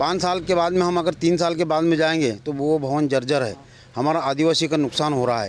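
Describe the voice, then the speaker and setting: Man's fairly high voice at a moderate pace, with ordinary pitch variation. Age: 60s. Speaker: independent election candidate, retired employee. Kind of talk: interview. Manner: halting.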